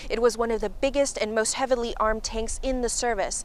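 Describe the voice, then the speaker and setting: Over noticeable background noise, a woman with a high pitch speaks at a fairly quick pace. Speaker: news reporter. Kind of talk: TV news report.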